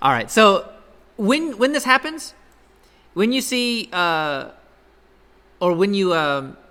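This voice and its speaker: A raised, projected voice with a bright, sharp tone swings very widely in pitch and leaves long, frequent pauses. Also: man, high pitch for a man. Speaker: college instructor. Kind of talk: lecture. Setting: classroom. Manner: fast.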